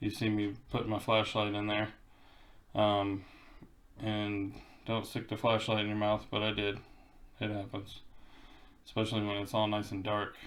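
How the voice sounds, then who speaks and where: With audible room echo, a man speaks at a fairly low pitch in a monotone, flat way at a moderate pace. Long pauses come often. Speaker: DIY car repair vlogger. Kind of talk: casual voice-over tutorial. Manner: hesitant, many fillers.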